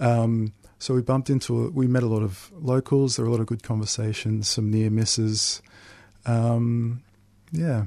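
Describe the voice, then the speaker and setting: A man with an Australian accent speaks at a moderate pace in a medium pitch. His tone is dark and mellow, his intonation fairly even, and the background is quiet. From Melbourne northern suburbs, Australia. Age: 30s. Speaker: author. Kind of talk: interview.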